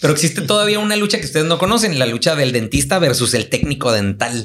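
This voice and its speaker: Very wide swings mark the pitch. Background noise is clearly audible. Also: man. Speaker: orthodontist. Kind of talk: casual chat.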